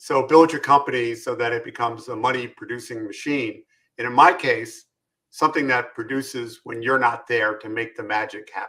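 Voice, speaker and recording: Using a New York accent, a man talks at a fairly quick pace with a bright, sharp tone, medium pitch, fairly even intonation and big swings in loudness. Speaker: business consultant, former contractor. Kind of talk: interview.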